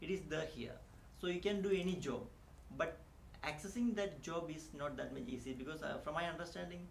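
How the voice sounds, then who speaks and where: Over noticeable background noise and audible room echo, a man with a high pitch and ordinary pitch variation speaks at a fairly quick pace. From India. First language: not English (Indian language). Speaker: immigrant teacher. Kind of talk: interview. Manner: halting, many fillers.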